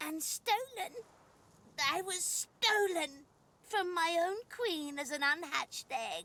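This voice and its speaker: A put-on character voice, female-sounding and extremely high, at a fairly slow pace with long, frequent pauses. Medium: video game. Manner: sweetly condescending, purring pet names.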